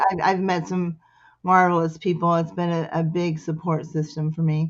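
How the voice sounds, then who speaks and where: This woman speaks in a fairly low pitch with an American accent and a monotone, flat intonation. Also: moderate pace. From US Midwest. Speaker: poetry group founder and host. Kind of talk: casual chat.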